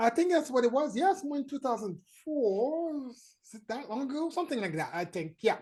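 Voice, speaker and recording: A woman with a French accent speaks fairly quickly in a high, dark, mellow voice, her pitch swinging very widely and her loudness rising and falling sharply. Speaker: marketing consultant and trainer. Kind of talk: panel discussion. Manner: hesitant, many fillers.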